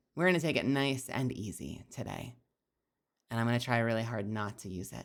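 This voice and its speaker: A woman speaks at a fairly quick pace. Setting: streaming.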